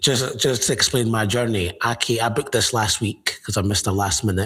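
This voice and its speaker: Here a man speaks with a Scottish accent in a bright, sharp tone. His loudness stays very even and his intonation fairly even. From Scotland, Edinburgh. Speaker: football fan. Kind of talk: casual chat.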